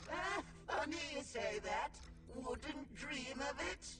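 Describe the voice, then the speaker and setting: A put-on character voice at a high pitch speaks at a fairly slow pace. There is loud background noise and a slight echo. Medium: video game. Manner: musing, professorial.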